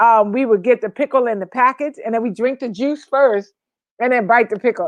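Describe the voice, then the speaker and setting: This is an ordinary speaking voice: a woman with an American accent, fairly high pitch and fairly even intonation. She talks at a fairly quick pace, and the sound is dry and close with no echo. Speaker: co-host. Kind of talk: casual chat.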